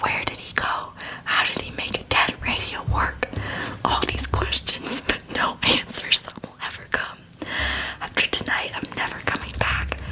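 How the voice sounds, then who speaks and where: A whispered voice moves at a fairly slow speed. Behind it, background noise is noticeable. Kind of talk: ASMR scary story reading.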